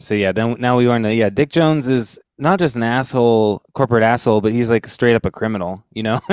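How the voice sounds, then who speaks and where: A man's medium-pitched, ordinary speaking voice, at a fairly quick pace with ordinary pitch variation. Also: very clean recording, silent background. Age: 30s. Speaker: podcast host. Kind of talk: casual chat.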